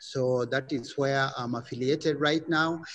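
A fairly slow pace and ordinary pitch variation from a man. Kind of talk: self-introduction in online panel. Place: hall. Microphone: video call.

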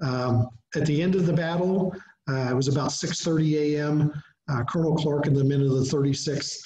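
A man with an American accent speaks at a moderate pace, his pitch fairly high and his intonation fairly even. Light background noise and audible room echo come through. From southeastern Ohio, US. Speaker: museum director, history speaker; presenter. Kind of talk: lecture. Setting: video call webinar. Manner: hesitant, many fillers. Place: home room. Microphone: webcam.

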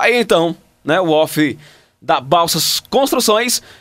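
Over a quiet background, a man with a high pitch speaks at a very slow pace with lively intonation. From Maranhão, Brazil. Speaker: radio announcer, voice-over artist. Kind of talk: casual talk to camera. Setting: home studio. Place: booth. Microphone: studio mic.

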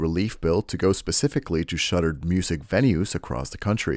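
The recording is very clean and the background silent. A man talks fairly quickly on it. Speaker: news reporter. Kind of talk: broadcast news reporting.

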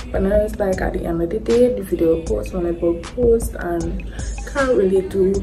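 Against clear background music, a woman talks at a moderate pace. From Trinidad and Tobago. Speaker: vlogger. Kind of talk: casual vlog talk to camera. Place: home room. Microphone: phone near.

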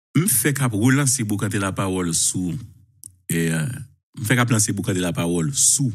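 In a quiet setting, a man speaks in a somewhat breathy voice with lively intonation. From Haiti. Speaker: journalist. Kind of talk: live talk show. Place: home room. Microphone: lapel.

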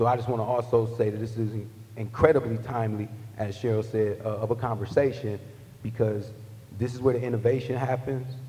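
A man's fairly quick, monotone, flat delivery. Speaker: panel moderator. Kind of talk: panel discussion. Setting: stage with audience. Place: hall. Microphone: podium.

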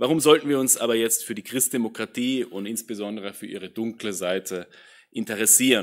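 Talking at a fairly quick pace, a man uses a medium pitch and ordinary pitch variation, with big swings in loudness. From Austria. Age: 30s. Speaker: political science professor. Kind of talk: lecture. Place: hall. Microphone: podium.

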